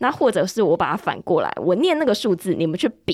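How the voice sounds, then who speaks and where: In a very clean recording with a silent background, a woman speaks at a very fast pace. She has a medium pitch and a Taiwanese accent. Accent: Taiwanese Mandarin. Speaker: English-learning podcast host. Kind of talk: casual interview chat.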